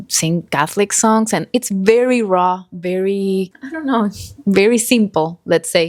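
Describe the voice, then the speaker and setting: A medium-pitched woman in an Argentine accent, very slow in pace with lively intonation, dry and close with no echo on a very clean recording with a silent background. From Argentina, Buenos Aires. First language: Spanish. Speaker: podcast co-host. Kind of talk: casual chat.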